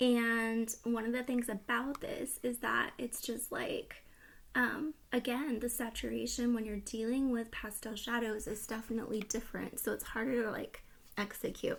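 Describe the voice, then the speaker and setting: A soft-spoken woman with a fairly high pitch talks in a monotone, flat intonation. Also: moderate pace. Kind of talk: casual talk to camera; ASMR makeup palette review.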